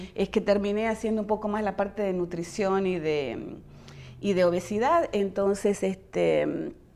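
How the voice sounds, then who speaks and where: A woman's dark, mellow tone at a fairly slow pace. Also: medium pitch for a woman, ordinary pitch variation. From western Argentina, near Chile. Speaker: physician. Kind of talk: interview. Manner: hesitant, many fillers.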